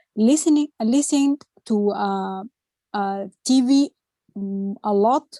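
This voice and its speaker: Pausing long and often, a woman with a dark, mellow tone and fairly high pitch speaks with ordinary pitch variation, recorded dry and close with no echo. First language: not English. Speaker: English learner. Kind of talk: class discussion. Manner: halting.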